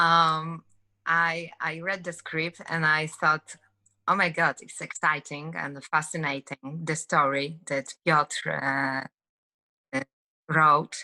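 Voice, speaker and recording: In a Polish accent, a woman speaks very slowly with long, frequent pauses, a very deep, low pitch, a bright, sharp tone and monotone, flat intonation, recorded dry and close with no echo. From Poland. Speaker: actress. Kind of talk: interview. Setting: video call. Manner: halting.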